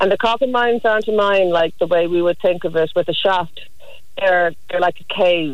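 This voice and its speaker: At a moderate pace, a woman speaks with an Irish accent. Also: medium pitch for a woman, ordinary pitch variation. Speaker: archaeologist. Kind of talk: casual chat.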